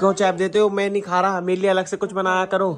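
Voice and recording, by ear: Talking fast, a man keeps a high pitch in a flat monotone.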